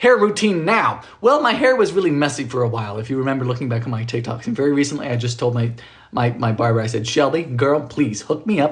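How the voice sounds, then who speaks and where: A man at a very fast pace with very wide pitch swings, amid noticeable background noise and audible room echo. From Bermuda. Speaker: baking livestreamer. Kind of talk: casual livestream chat. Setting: home kitchen.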